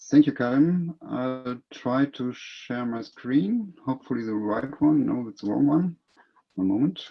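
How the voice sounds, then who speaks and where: Speaking at a fairly slow pace, a man uses ordinary pitch variation and big swings in loudness. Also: medium pitch for a man. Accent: German. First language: German. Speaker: city economic development officer. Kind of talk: conference presentation. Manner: reading from notes.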